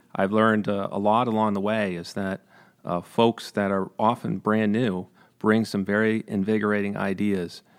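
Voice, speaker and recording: A man talks at a moderate pace, fairly low in pitch and fairly even in intonation, on a very clean recording with a silent background. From New York, Greene County (Capital Region). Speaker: Air National Guard colonel. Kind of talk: interview. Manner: halting, with many fillers.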